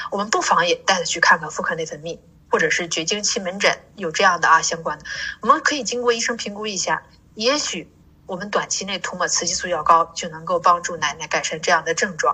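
Speaking fairly quickly in a normal speaking voice, a woman keeps a medium pitch with ordinary pitch variation. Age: 40s. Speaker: pharmacist. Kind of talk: interview.

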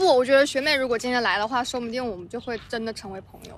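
A woman is speaking. Her pitch is high. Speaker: podcast co-host. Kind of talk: casual chat. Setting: outdoors on grass by a library.

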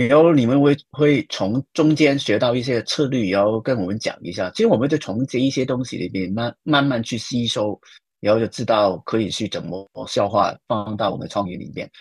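A man with a Hong Kong accent, hardly any pauses, and a dry, close sound with no echo against a quiet background. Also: medium pitch for a man, ordinary pitch variation, moderate pace. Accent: Hong Kong-accented Mandarin. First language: Cantonese (speaking Chinese). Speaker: advertising creative director. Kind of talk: interview. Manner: animated, laughs loudly.

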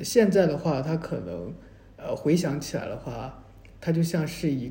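Dark and mellow in tone with vocal fry, this voice moves at a fairly slow pace with lively intonation. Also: man. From mainland China. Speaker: graduate student. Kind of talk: casual chat. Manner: halting, many fillers.

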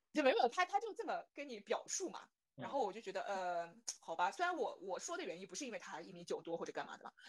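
A woman talks at a very fast pace with a fairly high pitch. Her pitch swings very widely. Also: big swings in loudness. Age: 20s. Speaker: guest sharing blind-date experiences. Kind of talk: casual chat.

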